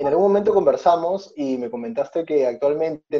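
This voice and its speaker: A man speaks at a moderate pace in a fairly high pitch with ordinary pitch variation. His tone is dark and mellow. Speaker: podcast host. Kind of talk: interview.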